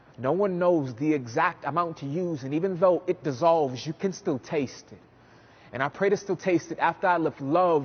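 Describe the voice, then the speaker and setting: An unremarkable speaking voice from a man with an American accent, fairly high in pitch, with ordinary pitch variation. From US South, New Orleans. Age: 20s. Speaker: spoken word poet. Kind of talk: spoken word performance. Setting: stage.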